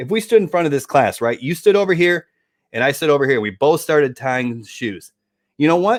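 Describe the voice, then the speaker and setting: On a very clean recording with a silent background, a man with an American accent speaks fairly quickly at a fairly high pitch, swinging very widely up and down. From Michigan, US Midwest. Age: 40s. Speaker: affiliate marketer. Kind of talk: casual interview.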